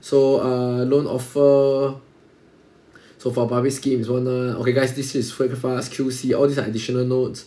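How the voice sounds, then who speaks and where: Monotone with flat intonation, a man with a Singaporean accent speaks at a medium pitch and a moderate pace. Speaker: exam revision tutor. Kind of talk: tutorial.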